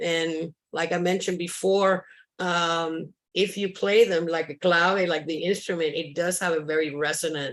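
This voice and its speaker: A woman with a Spanish accent, fairly low in pitch, monotone and flat, at a moderate pace against a quiet background. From Cuba. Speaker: sculptor. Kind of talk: interview. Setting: video call. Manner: halting.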